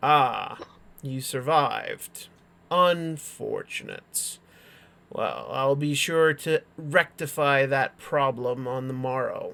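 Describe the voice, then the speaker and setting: A put-on character voice at a very slow pace. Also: man, fairly high pitch for a man. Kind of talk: archaic, formal. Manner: haughty, contemptuous.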